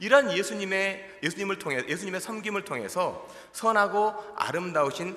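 With a raised, projected voice, a man talks at a fairly quick pace and high pitch, with ordinary pitch variation and hardly any pauses. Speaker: pastor. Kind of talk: sermon. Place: church. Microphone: podium.

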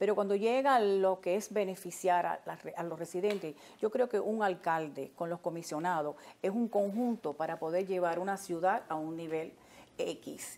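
A woman talks at an unhurried, middling pace, her pitch varying in the usual way. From Miami, Little Havana; Miami. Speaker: community activist; TV interview guest. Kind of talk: talk show interview. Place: studio. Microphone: lapel.

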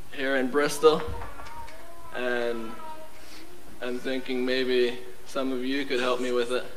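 Over light background noise, a man talks very slowly in a flat monotone. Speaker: actor playing a preacher in a staged play. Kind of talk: theatrical speech to an audience. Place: stage. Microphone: camera far.

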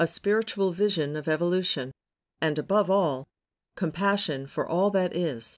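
A woman speaks in a fairly low pitch with ordinary pitch variation. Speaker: audiobook narrator. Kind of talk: audiobook narration.

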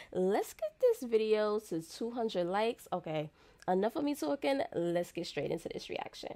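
With an American accent, a woman talks at a moderate pace in an animated tone, her fairly high pitch moving in very wide swings. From United States. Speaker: YouTube reaction creator. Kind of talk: casual reaction commentary. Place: home room. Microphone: studio mic.

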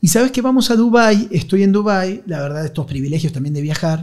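Against a quiet background, a man speaks with a high pitch and lively intonation. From Argentina, Buenos Aires. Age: 40s. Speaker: journalist and war correspondent; journalist, war correspondent. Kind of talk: casual chat. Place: studio. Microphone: studio mic.

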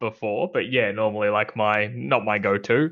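A man speaks at a fairly slow pace with an Australian accent and a bright, sharp tone. The background is quiet. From Australia (Victoria). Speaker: comedy podcast co-host. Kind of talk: casual chat. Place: home room. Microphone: headset.

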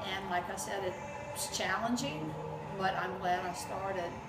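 The speech moves at a fairly slow pace. Loud background noise is heard behind it. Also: woman. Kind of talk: interview answer.

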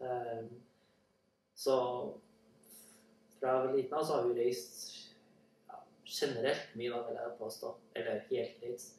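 Amid audible room echo, a man speaks at a fairly slow pace with long, frequent pauses. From Central Norway (Trøndelag). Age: young. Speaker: language learning speaker. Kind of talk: casual spoken monologue for listening practice. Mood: relaxed, friendly. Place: home room. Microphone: camera far.

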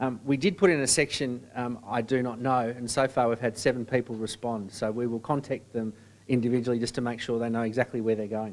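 A man at medium pitch, very fast pace, fairly even intonation. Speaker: sports association executive. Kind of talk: presentation. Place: meeting room.

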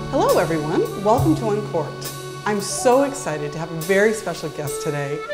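A woman at a fairly quick pace over clear background music. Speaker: show host. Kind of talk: tv host interview.

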